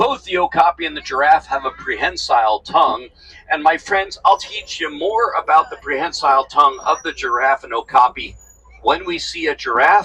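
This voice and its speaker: A man talks at a moderate pace. The sound is dry and close with no echo, though noticeable background noise is present. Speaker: safari tour guide. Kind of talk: guided tour commentary. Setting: outdoors on open safari truck. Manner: animated; whispering.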